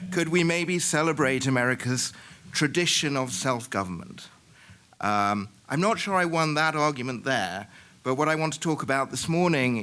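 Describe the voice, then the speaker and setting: A man's bright, sharp tone with lively intonation, at a moderate pace. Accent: British. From Britain. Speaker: historian, keynote speaker. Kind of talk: conference keynote lecture. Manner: halting, many fillers.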